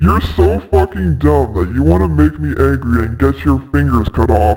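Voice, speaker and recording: A man puts on a character voice with a very deep, low pitch. His tone is menacing and his pace moderate. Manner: menacing, taunting.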